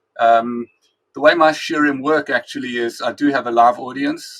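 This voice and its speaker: The sound is dry and close, without any echo. A man talks in a South African accent. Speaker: rabbi and Talmud teacher. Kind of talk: interview.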